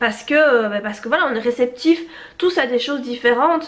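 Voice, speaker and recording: A woman speaks at a very fast pace in a high voice. Her intonation is lively. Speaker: novelist and YouTuber. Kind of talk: casual vlog chat. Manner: hesitant, many fillers.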